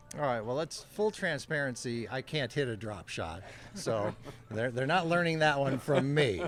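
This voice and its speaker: Noticeable background noise beneath lively intonation and a moderate pace. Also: man, medium pitch for a man. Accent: American. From California. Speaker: senior tennis player. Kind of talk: interview.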